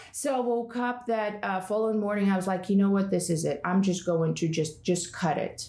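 Over noticeable background noise, a woman with a Russian accent talks at a fairly quick pace at medium pitch, with ordinary pitch variation. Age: 40s. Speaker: yoga and Enneagram teacher. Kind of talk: casual chat. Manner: loud; animated.

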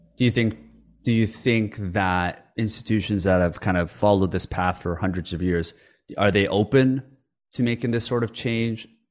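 A man with a normal speaking voice and a Canadian accent, fairly low pitch, fairly even intonation and moderate pace, against a quiet background. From Canada (moved from Korea as a child). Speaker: podcast host. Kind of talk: interview. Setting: remote call.

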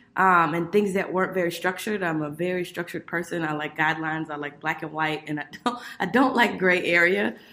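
A woman's fairly low voice with an American accent, a plain, everyday voice, and ordinary pitch variation. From Miami, Florida. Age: 30s. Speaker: corporate business development manager. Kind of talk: interview podcast.

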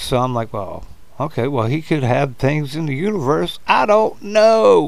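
Audible room echo surrounds a man with an American accent whose pitch swings very widely. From United States. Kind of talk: casual chat.

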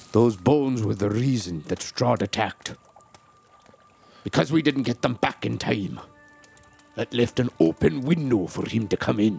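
Amid faint music in the background, a man performs a put-on character voice with long, frequent pauses. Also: medium pitch for a man, moderate pace. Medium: actual play. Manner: earnest, grim, determined.

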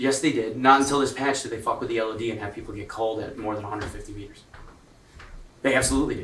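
A man talks very fast at a medium pitch, with fairly even intonation and big swings in loudness. Noticeable background noise runs underneath. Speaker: gaming streamer. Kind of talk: casual group chat.

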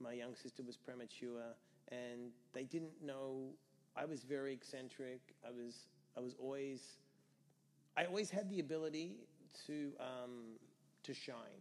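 A man with an Australian accent, fairly slow pace and long, frequent pauses. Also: medium pitch for a man, ordinary pitch variation. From Australia (Perth). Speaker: entrepreneur and sobriety mentor. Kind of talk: casual interview.

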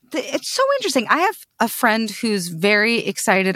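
At a moderate pace, a woman speaks at a fairly high pitch in an unremarkable speaking voice. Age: 30s. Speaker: podcast host. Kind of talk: interview conversation.

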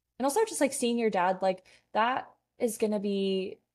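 A woman uses an ordinary speaking voice, keeping a moderate pace and ordinary pitch variation. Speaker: guest, TikTok creator. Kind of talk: casual chat.

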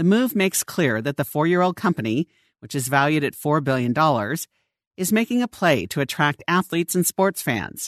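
Speech comes at a moderate pace. The background is quiet. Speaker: audio article narrator. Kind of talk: reading aloud.

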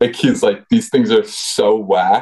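He has an American accent. This man talks at a fairly slow pace. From rural Vermont, US. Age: 30s. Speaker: former pro freeskier, now researcher. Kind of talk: casual interview chat.

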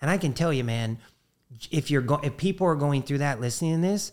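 Lively intonation and an animated tone mark this man's fairly high-pitched voice. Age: 50s. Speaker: former professional baseball player. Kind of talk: casual chat.

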